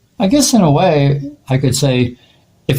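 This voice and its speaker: A man speaks in a dark, mellow tone. There is a somewhat breathy quality to it. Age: 70s. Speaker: artist. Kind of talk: tarot reading monologue. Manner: halting, many fillers.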